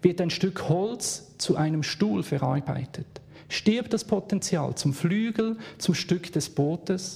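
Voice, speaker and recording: A man with a Swiss German accent has a dark, mellow tone. He speaks at a very slow pace with lively intonation. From Switzerland, Bern. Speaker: guest preacher. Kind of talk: sermon.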